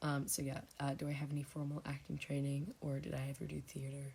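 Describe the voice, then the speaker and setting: A quiet, somewhat breathy woman with a very deep, low pitch, at a moderate pace. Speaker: ASMR creator. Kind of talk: casual Q&A chat. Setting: home, thin walls. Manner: speaking quietly; hesitant, many fillers.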